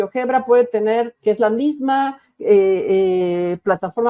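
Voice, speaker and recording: A dark, mellow tone with ordinary pitch variation comes through in a dry, close sound with no echo. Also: woman. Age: 60s. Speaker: university rector and educator. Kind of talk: lecture. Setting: virtual conference. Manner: halting, frequent repetitions and self-corrections.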